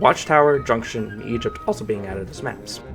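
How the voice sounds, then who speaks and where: Music plays behind a man speaking at a fairly quick pace. His pitch is medium, with ordinary variation. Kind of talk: video essay narration. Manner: low energy, unenthusiastic.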